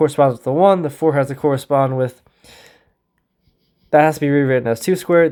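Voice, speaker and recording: The fairly quick speech sits on a very clean recording with a silent background. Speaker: math tutor. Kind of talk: tutorial. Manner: casual, thinking aloud with self-corrections.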